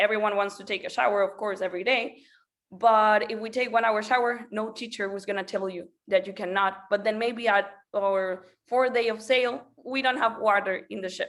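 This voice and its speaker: In a Spanish accent, the speaker talks at a moderate pace with fairly even intonation on a very clean recording with a silent background. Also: woman, fairly high pitch for a woman. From Venezuela. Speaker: school program representative. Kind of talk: presentation. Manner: halting, with many fillers.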